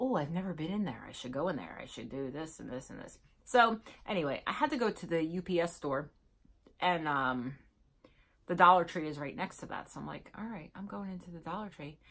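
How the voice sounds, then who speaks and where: A woman with a normal speaking voice talks at a fairly quick pace and a fairly low pitch. Her intonation is lively, her loudness swings widely, and the background is quiet. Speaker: vlogger. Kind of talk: casual vlog chat. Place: home room. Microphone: phone near.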